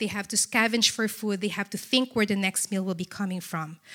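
Bright and sharp in tone, a woman with a Filipino accent talks with ordinary pitch variation. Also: very clean recording, silent background. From Philippines. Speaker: charity representative. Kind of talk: church talk. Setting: church.

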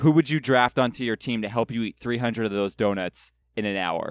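A man with an American accent speaks in an ordinary speaking voice at a medium pitch, a fairly quick pace and with ordinary pitch variation. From California. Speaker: guest podcaster. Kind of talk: casual chat.

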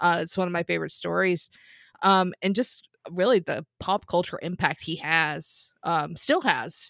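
Over a silent background in a very clean recording, a woman speaks at a fairly slow pace, fairly low in pitch with ordinary pitch variation and vocal fry. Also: dry, close sound with no echo. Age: 30s. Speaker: trivia podcast host. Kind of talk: casual panel debate. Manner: hesitant with filler words.

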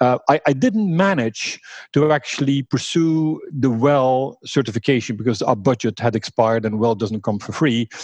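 With a Flemish accent, a man speaks at medium pitch and a moderate pace, his pitch varying in an ordinary way, in a dry, close sound with no echo. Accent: Flemish Belgian English. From Flanders, Belgium. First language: Dutch (Flemish). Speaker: workplace design company founder. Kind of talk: interview.

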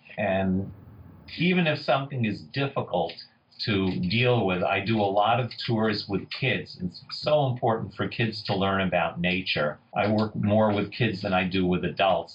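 A man with a New York accent and a somewhat breathy, fairly low voice, ordinary pitch variation and a fairly slow pace. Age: 60s. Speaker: forager and foraging tour leader. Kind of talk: interview with storytelling. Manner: animated.

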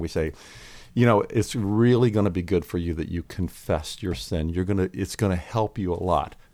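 On a very clean recording with a silent background, a man with an American accent and a normal speaking voice talks at a moderate pace, his pitch fairly low with ordinary variation. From Pennsylvania, Lancaster County. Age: 60s. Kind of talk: podcast interview.

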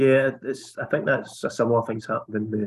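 In a Scottish accent, a man speaks at medium pitch and a moderate pace with fairly even intonation. The sound is dry and close with no echo. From Scotland. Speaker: podcast host. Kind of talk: casual political chat.

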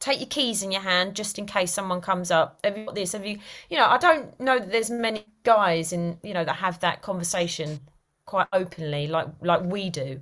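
A woman in a Cockney accent, medium in pitch, with ordinary pitch variation. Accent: London (Cockney-type) English. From East London. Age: 40s. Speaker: actor and writer. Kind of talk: casual interview.

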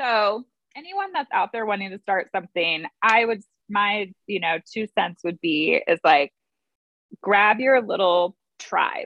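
At a fairly slow pace, a woman with a medium pitch and an unremarkable speaking voice talks with lively intonation. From San Diego, California. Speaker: small business owner. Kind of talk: interview.

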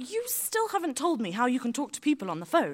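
Using a put-on character voice, a woman speaks at a high pitch and a fairly quick pace with very wide pitch swings.

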